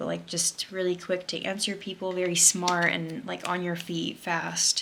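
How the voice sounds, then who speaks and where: A woman talks at a fairly low pitch in monotone, flat intonation. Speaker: tarot card reader. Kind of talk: pick-a-card tarot reading. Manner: fast; casual, many filler words.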